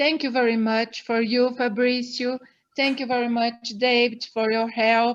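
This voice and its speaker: A woman's high voice with a Brazilian accent, fairly slow and flat in a monotone. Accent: Brazilian Portuguese, non-native English. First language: Portuguese. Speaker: wildlife veterinarian and foundation director. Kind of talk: interview. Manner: halting.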